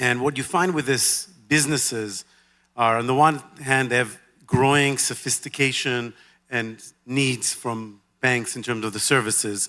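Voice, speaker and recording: A man speaks at a fairly slow pace with a medium pitch. His tone is bright and sharp. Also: fairly even intonation, very clean recording, silent background. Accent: Israeli. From Israel. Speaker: banker. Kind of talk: onstage interview. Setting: stage with audience.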